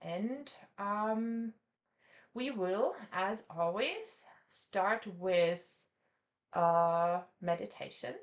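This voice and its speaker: Speaking very slowly with long, frequent pauses, a woman with a non-native accent keeps a medium pitch and ordinary pitch variation. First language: not English. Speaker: art teacher. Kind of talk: online class; guided meditation. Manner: halting.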